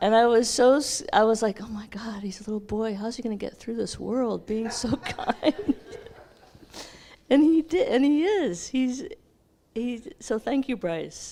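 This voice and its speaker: A woman speaks at a fairly slow pace with a fairly high pitch and lively intonation. Her speech has long, frequent pauses. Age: 60s. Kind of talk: testimony.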